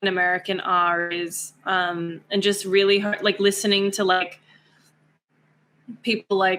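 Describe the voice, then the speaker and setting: Using a bright, sharp tone, a woman with an Australian accent speaks fairly slowly in a monotone, flat way, with long, frequent pauses. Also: medium pitch for a woman. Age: 20s. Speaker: actress and beauty queen. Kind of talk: casual chat.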